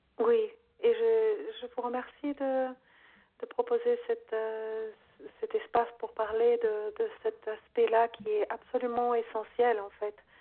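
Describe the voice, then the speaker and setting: A very slow-paced woman's voice with long, frequent pauses. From Brazil. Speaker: yoga teacher. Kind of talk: interview.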